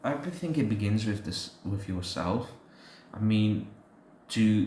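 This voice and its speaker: Somewhat breathy and fairly low, a man speaks at a fairly slow pace with audible room echo. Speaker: podcast co-host. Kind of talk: casual faith discussion. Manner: halting, many fillers.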